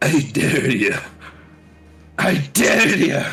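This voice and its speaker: Faint music plays in the background as a man does a raspy, put-on character voice at a fairly high pitch. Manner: intimidating, daring.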